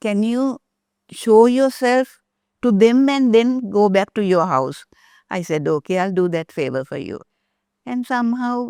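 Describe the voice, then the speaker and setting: With a dark, mellow tone, a woman speaks using lively intonation. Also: dry, close sound with no echo. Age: 80s+. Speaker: devotee. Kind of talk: testimony. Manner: halting.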